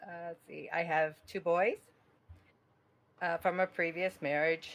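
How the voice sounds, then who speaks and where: A woman with a fairly low pitch talks at a fairly slow pace in a shaky, nervous tone, with monotone, flat intonation and big swings in loudness. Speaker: fantasy football league member, retiree. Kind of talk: casual chat. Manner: nervous, shaky.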